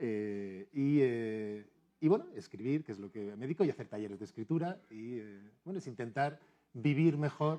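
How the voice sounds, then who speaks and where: Speaking at a moderate pace, a man with a medium pitch and a dark, mellow tone uses ordinary pitch variation and big swings in loudness. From Spain, Madrid. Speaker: novelist and university teacher. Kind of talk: TV interview. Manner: halting, many fillers.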